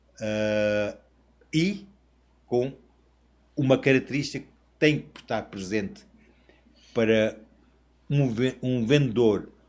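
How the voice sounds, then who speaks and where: A male speaker talks very slowly, holding a medium pitch with ordinary pitch variation. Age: 60s. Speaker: international sales representative. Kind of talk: interview podcast.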